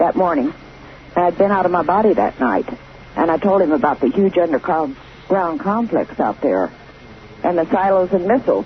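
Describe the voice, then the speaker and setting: A woman with a fairly low pitch talks at a fairly quick pace with lively intonation. Noticeable background noise is present. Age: 60s. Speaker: caller. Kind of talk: phone-in testimony. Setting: phone call.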